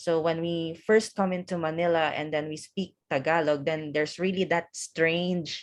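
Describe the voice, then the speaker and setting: A woman's fairly low voice in a Visayan Filipino accent, monotone and flat, at a moderate pace with hardly any pauses, against a quiet background. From Philippines, Visayas (Hiligaynon-speaking island). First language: Hiligaynon. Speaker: office worker and event host. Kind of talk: casual conversation interview. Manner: hesitant, many fillers.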